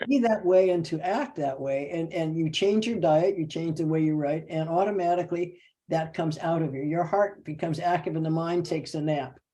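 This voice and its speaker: Speaking at a fairly quick pace with hardly any pauses, a woman has a fairly low, dark and mellow voice with ordinary pitch variation. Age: 80s+. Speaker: call participant sharing spiritual advice. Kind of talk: casual sharing on group call.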